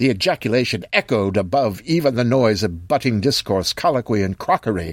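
Someone does plain reading aloud here.

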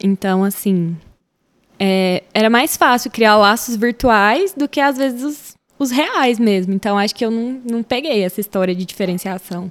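A woman with an unremarkable speaking voice, fairly high in pitch with ordinary pitch variation, talks at a fairly slow pace in a very clean recording with a silent background and a dry, close sound with no echo. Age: 20s. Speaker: schoolteacher. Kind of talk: casual chat.

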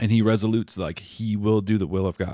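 This man has a fairly low pitch. He uses an unremarkable speaking voice. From Minnesota. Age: 40s. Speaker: father and churchgoer. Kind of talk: casual chat, faith testimony.

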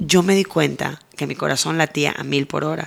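Speaking at a fairly slow pace, a woman has a very deep, low pitch and vocal fry. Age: 40s. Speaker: TV presenter. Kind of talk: interview.

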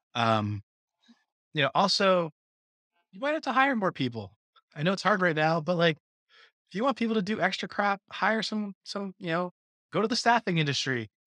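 A man speaks in a raised, projected voice, high-pitched with a bright, sharp tone and very wide pitch swings, at a moderate pace with long, frequent pauses. The sound is dry and close with no echo, against a quiet background. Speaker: podcast co-host; former teacher and coach. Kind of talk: casual chat.

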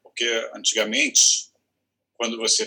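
A man talks at a moderate pace. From Rio de Janeiro state, Brazil (Petrópolis, Teresópolis). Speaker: theatre director and teacher. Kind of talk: interview conversation.

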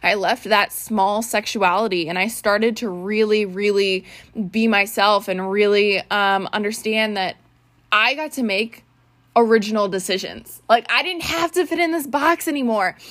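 This woman's voice sits fairly high, with lively intonation and an animated tone at a moderate pace. The recording is very clean, with a silent background. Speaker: podcast host. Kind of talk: casual monologue. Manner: loud.

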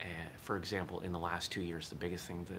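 A very fast man's voice at a very deep, low pitch, with audible room echo. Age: 40s. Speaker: daily podcast host and martial arts instructor. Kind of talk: casual solo monologue. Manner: casual, slightly halting with fillers.

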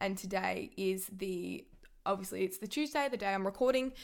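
A woman with an Australian accent. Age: 20s. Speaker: sports podcaster. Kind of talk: solo sports commentary podcast. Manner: animated.

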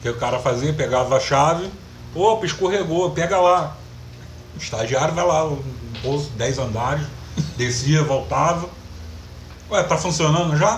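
With audible room echo, a man at a fairly high pitch speaks at a moderate pace with ordinary pitch variation and long, frequent pauses. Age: 30s. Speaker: podcast co-host. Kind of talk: casual chat.

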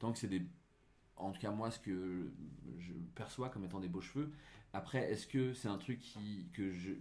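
The tone is dark and mellow, with lively intonation and a fairly slow pace. Audible room echo surrounds the voice. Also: man. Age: 30s. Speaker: digital marketer. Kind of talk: casual chat.

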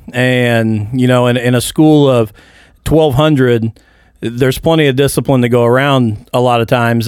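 A man with an American accent and a plain, everyday voice, medium pitch, moderate pace, and fairly even intonation, on a very clean recording with a silent background. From Indiana, small town. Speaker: school principal. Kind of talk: casual chat. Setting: studio.

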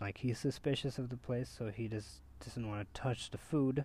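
Here a man talks at a moderate pace with a medium pitch and ordinary pitch variation. His tone is dark and mellow, and somewhat breathy. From India. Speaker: podcast host. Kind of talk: casual chat.

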